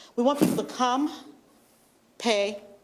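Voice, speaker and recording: Through noticeable background noise, a woman with a fairly high pitch talks at a fairly slow pace with very wide pitch swings. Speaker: journalist and media board member. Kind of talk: public presentation at a meeting. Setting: township board meeting. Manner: animated.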